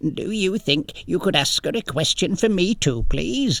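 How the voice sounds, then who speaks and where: A man puts on a character voice, high-pitched and gentle in tone. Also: moderate pace. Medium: read story. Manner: small, gentle.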